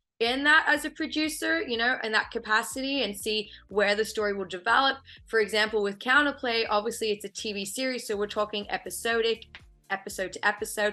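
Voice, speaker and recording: With an Australian accent, a woman speaks fairly quickly at a fairly high pitch, her tone bright and sharp, her pitch varying in an ordinary way over a quiet background. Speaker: film and TV producer. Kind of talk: interview.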